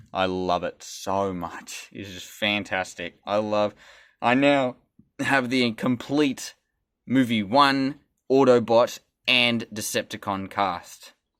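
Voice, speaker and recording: A man with an Australian accent at a medium pitch, very slow pace and big swings in loudness, on a very clean recording with a silent background. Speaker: toy reviewer. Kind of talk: product review and tutorial. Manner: casual, occasionally stumbling.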